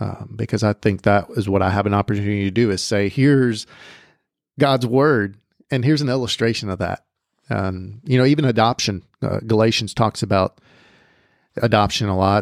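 In a very clean, dry, close recording with a silent background and no echo, a man with an American accent has an unremarkable speaking voice, a fairly low pitch, ordinary pitch variation and a moderate pace. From Southern California. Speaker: college pastor. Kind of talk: testimony.

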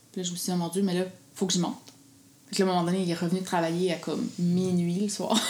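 A woman with a Quebec accent speaks very fast at a medium pitch with monotone, flat intonation and long, frequent pauses, over noticeable background noise. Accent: Québécois French. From Quebec, Gaspésie. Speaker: food blogger and mother. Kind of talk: casual interview.

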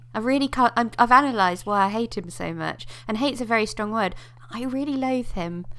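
Using an ordinary speaking voice, a woman talks fairly quickly at a fairly high pitch with ordinary pitch variation. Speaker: podcast host. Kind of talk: casual chat.

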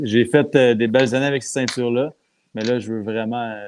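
A man at medium pitch, moderate pace and fairly even intonation. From Quebec. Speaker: pro wrestler. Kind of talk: casual chat.

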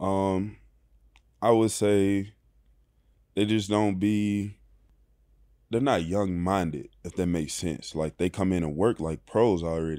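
With a Mississippi accent and a dark, mellow tone, a man speaks at a fairly low pitch and a fairly slow pace with ordinary pitch variation and long, frequent pauses, on a very clean recording with a silent background. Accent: US Southern, Mississippi. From Mississippi (small town near Oxford). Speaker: professional football player. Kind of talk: interview. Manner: soft-spoken.

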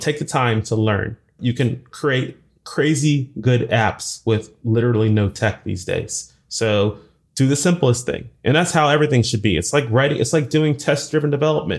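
A man with a medium-pitched, somewhat breathy voice speaks at a moderate pace with ordinary pitch variation. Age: 40s. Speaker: software engineer and conference speaker. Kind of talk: interview.

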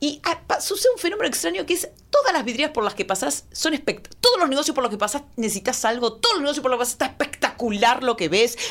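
Against noticeable background noise, a woman talks very fast with hardly any pauses, her high pitch swinging very widely. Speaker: comedian. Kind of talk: comedic casual chat.

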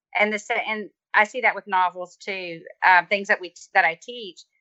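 In an American accent, a woman speaks at medium pitch and a moderate pace, with fairly even intonation. It's an unremarkable speaking voice. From US South. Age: 40s. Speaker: teacher. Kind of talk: interview. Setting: video call. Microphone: faulty call connection.

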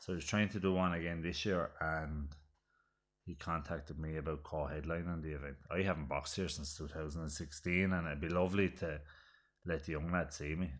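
A man's very deep, low voice with an Irish accent, fairly quick in pace and fairly even in intonation. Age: 30s. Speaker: boxer and retired Gaelic footballer. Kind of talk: casual chat.

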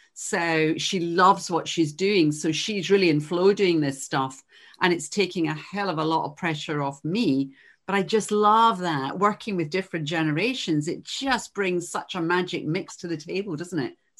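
A woman speaks in a Glasgow accent. The background is quiet. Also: fairly low pitch for a woman, ordinary pitch variation, moderate pace. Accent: Scottish (Glasgow). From Glasgow, Scotland. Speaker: podcast host and coach. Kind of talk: interview.

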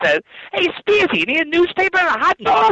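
An extremely high, put-on character voice in a New York accent. It moves at a fairly quick pace.

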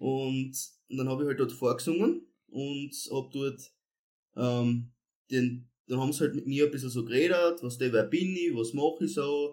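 A man with a dark, mellow tone and medium pitch speaks at a moderate pace with fairly even intonation and long, frequent pauses. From Austria, Styria (Kapfenberg). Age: 20s. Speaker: singer. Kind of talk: casual chat.

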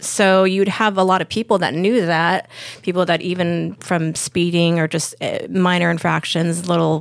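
A woman with an American accent, a plain, everyday voice, fairly low pitch and fairly even intonation. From Lakewood, California. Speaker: freedom advocate. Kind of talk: casual chat.

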